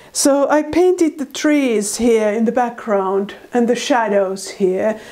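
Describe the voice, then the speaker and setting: A woman with a Finnish accent at a very slow pace, lively intonation, noticeable background noise. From Finland. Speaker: artist. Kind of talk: tutorial.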